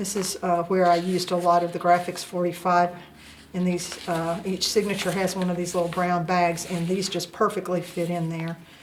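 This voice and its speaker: A woman's fairly low voice with a Southern US accent, over noticeable background noise. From US South. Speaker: crafter, journal maker. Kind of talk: show-and-tell tutorial. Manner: hesitant, many filler uhs.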